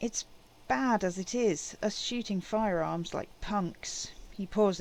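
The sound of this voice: With ordinary pitch variation, the passage is delivered in an unforced reading voice.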